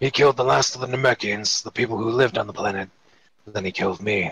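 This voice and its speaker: A man puts on a raspy character voice, speaking very fast in a medium pitch with ordinary pitch variation. The sound is dry and close, with no echo. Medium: read story. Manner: brash, impatient.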